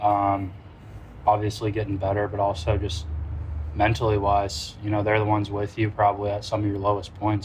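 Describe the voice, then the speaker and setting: Here a man speaks somewhat breathily at a fairly low pitch. His pace is fairly quick. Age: 20s. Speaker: professional baseball pitcher. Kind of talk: interview. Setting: at a ballpark.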